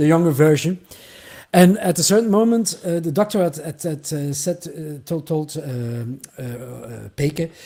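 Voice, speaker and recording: Big swings in loudness and ordinary pitch variation mark this voice with a Flemish accent. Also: man, fairly high pitch for a man. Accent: Flemish Dutch accent in English. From Flanders, Belgium. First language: Dutch (Flemish). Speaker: singer-songwriter. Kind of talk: interview. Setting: livestream.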